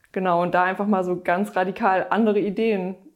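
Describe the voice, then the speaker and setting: A woman at a medium pitch talks at a fairly quick pace. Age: young. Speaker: festival organizer. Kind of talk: casual interview.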